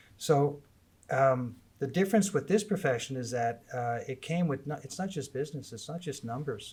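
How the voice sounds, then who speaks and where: At a moderate pace, a somewhat breathy voice with lively intonation comes through on a very clean recording with a silent background. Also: man, fairly high pitch for a man. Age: 60s. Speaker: cemetery managing director. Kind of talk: casual interview. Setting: live recording at a conference. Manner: hesitant, many fillers.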